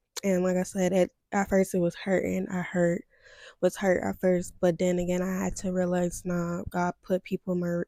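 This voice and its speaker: A quiet woman's voice, fairly low in pitch, dark and mellow in tone, monotone and flat, at a moderate pace, in a dry, close sound with no echo. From US Midwest, Steubenville, Ohio. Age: 20s. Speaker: vlogger. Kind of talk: personal testimony vlog. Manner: hesitant, many fillers.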